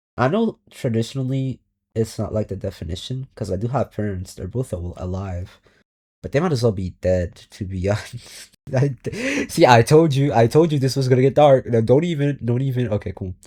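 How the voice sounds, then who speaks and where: Over a very clean recording with a silent background, a man speaks fairly quickly in a somewhat breathy, dark, mellow tone, his medium pitch carried by lively intonation. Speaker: vlogger. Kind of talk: personal monologue. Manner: halting.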